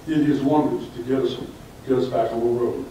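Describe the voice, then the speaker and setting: A man with an American accent and fairly high pitch speaks at a fairly quick pace amid noticeable background noise and audible room echo. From US South, Orlando, Florida. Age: 70s. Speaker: club member speaker, retired librarian. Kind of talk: speech to club audience.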